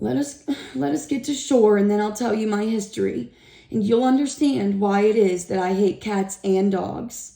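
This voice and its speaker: Using a put-on character voice, a woman speaks at a medium pitch and a moderate pace. Her voice is shaky. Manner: wounded, passionate.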